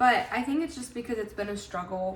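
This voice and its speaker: Over noticeable background noise and audible room echo, a woman talks with lively intonation. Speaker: lifestyle vlogger. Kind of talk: casual vlog talk to camera. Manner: fast; chatty, lots of filler words.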